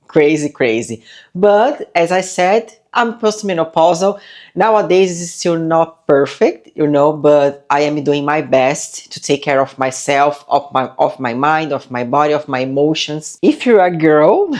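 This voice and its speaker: Against a quiet background, a woman with a non-native accent speaks at a fairly slow pace in a very deep, low pitch with ordinary pitch variation. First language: not English. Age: 40s. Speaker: lifestyle vlogger. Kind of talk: casual vlog talk to camera. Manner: halting, with fillers.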